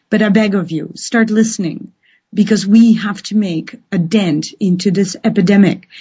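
Somewhat breathy and medium in pitch, a woman speaks at a moderate pace with fairly even intonation. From Netherlands. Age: 40s. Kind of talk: live call-in radio talk.

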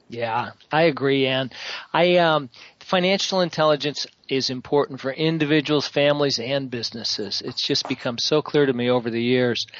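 A man with a fairly high pitch has an ordinary speaking voice. He talks at a moderate pace with ordinary pitch variation. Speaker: radio co-host. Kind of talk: radio talk show hosting.

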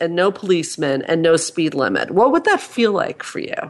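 A woman with a fairly low pitch talks at a moderate pace in an unremarkable speaking voice with lively intonation. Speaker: clinical psychologist and author. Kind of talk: expert interview conversation. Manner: thoughtful, explanatory.

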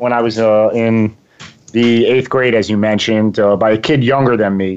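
A man speaks with an East Coast accent at a medium pitch. His intonation stays fairly even. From Long Island, New York. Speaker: success coach. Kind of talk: interview.

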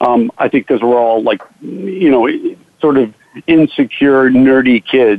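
This man has an ordinary speaking voice, medium in pitch, with ordinary pitch variation. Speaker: magician and actor. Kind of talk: casual interview chat.

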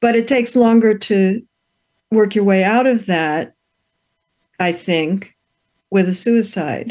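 A woman speaks at a very slow pace, with long, frequent pauses. Her medium pitch shows ordinary variation while her loudness stays very even. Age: 70s. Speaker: radio talk show host. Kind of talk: interview conversation. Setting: radio studio.

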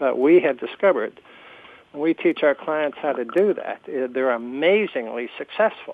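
Using a normal speaking voice with an American accent, a man talks at a fairly high pitch and a moderate pace with lively intonation. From New Jersey. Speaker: radio host and career coach. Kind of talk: radio interview.

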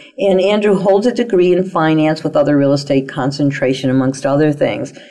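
Very wide pitch swings in a woman's speech, with noticeable background noise behind it. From Italian-American. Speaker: internet radio talk show host and psychic relationship guide. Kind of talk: talk radio interview. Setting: internet radio studio.

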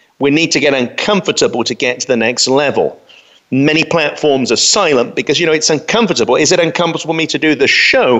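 The speaker talks very fast in a London accent. The intonation is lively and the loudness very even. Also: man, fairly high pitch for a man. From London, England. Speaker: pastor and radio host. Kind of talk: solo talk radio monologue.

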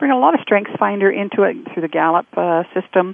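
Speaking at a fairly quick pace, a woman has a fairly low pitch and a plain, everyday voice. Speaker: coach and storyteller. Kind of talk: casual conversational interview.

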